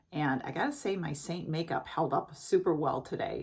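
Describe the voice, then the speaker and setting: A woman's very deep, low-pitched, somewhat breathy voice at a fairly quick pace. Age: 60s. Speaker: beauty vlogger. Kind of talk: product review tutorial. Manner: casual, chatty with fillers.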